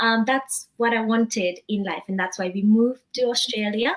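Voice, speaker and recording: At a moderate pace, a woman with a fairly high, somewhat breathy voice keeps a fairly even intonation. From Nepal. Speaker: social worker and digital business owner. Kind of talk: interview. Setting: live stream.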